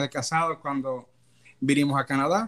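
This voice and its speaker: A man with a fairly high pitch speaks at a fairly slow pace and with fairly even intonation, on a very clean recording with a silent background. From Dominican Republic. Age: 30s. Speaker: immigrant, business administrator. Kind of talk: interview. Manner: hesitant, many fillers.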